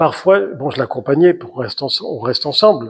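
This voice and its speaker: A man's fairly high voice with lively intonation. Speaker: writer and journalist. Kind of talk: author talk to an audience. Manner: hesitant, many fillers.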